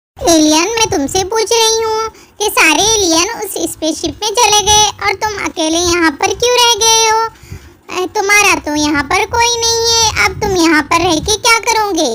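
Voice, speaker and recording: In a cartoonish character voice, a woman speaks at a moderate pace with an extremely high pitch. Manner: earnest, expressive.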